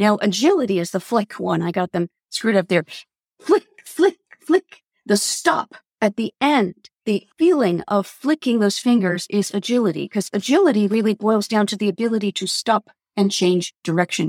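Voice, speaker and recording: In an American accent, a woman at a medium pitch sounds animated, her intonation lively and the sound dry and close with no echo. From US, New York City. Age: 60s. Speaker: dance teacher and somatic educator. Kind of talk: interview.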